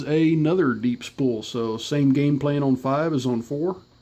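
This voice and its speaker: A man speaks at a very slow pace with a fairly high pitch and fairly even intonation. Noticeable background noise runs underneath. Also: hardly any pauses. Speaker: locksport hobbyist. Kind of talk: tutorial.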